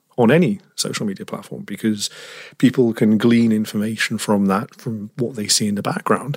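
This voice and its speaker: Man with a British accent at medium pitch, a moderate pace and ordinary pitch variation. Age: 30s. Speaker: tech journalist. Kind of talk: interview.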